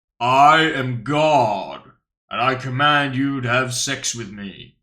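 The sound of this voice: A man puts on a character voice pitched in the middle of his range. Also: fairly slow pace.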